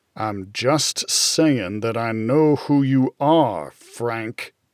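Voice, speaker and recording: In a dry, close sound with no echo, a man speaks very slowly at a medium pitch with ordinary pitch variation. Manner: through gritted teeth, tense.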